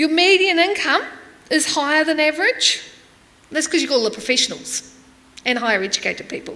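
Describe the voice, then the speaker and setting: A woman uses a raised, projected voice at a high pitch with lively intonation. Audible room echo surrounds her. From New Zealand. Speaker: preacher, church development worker. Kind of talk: sermon. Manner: conversational.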